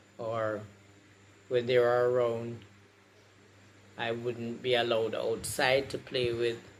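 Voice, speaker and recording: At a very slow pace, a man with a medium pitch speaks in monotone, flat intonation, with audible room echo. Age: 60s. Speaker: patient sharing experience. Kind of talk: testimony.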